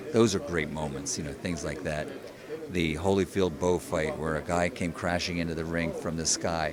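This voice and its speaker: Very deep, low male speech, with background noise clearly audible. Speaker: ring announcer. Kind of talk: interview answer.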